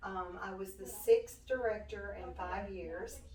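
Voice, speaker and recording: A woman with a Southern US accent, speaking at a very slow pace, with noticeable background noise and audible room echo. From US South, western Tennessee. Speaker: nonprofit director. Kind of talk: interview. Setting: studio.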